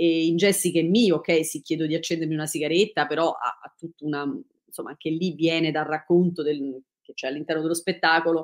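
A woman speaks at a fairly quick pace with a fairly low pitch and fairly even intonation. Her loudness swings widely against a quiet background. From Italy, Rome. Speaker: dancer and choreographer; interviewee. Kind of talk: interview. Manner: halting, many fillers and restarts. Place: home room. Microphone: video call.

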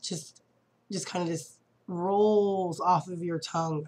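The woman speaks at a very slow pace. Her pitch sits in the medium range. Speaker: e-liquid reviewer. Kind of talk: product review vlog. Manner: animated.

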